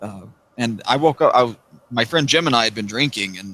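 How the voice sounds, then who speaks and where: With an American accent, a man talks at a fairly quick pace. His tone is bright and sharp. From US South. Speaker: YouTuber, former law enforcement. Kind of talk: casual interview.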